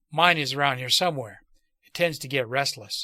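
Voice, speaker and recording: A man puts on a raspy character voice at a fairly high pitch. He talks at a fairly quick pace. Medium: read story. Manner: calm, casual, weary.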